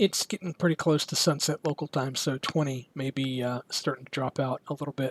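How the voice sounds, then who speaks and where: In a very clean recording with a silent background and a dry, close sound with no echo, a man with a fairly high pitch speaks somewhat breathily at a fairly quick pace, with fairly even intonation and hardly any pauses. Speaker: amateur radio operator. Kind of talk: casual talk to camera. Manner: low-key.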